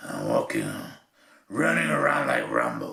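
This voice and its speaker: A man puts on a character voice. It sounds gruff, raspy and strained. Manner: put-on gruff action-hero voice.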